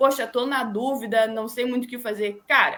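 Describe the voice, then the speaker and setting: Bright and sharp in tone, a woman with a fairly high pitch speaks at a moderate pace with fairly even intonation. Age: 20s. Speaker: radio and web reporter and producer, sports journalist. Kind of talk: interview answer. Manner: conversational, sincere.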